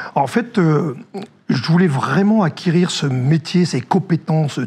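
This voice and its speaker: Lively intonation from a man with a fairly high pitch, against noticeable background noise. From northern France. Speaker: former army officer, security director. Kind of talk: interview. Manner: hesitant, many fillers.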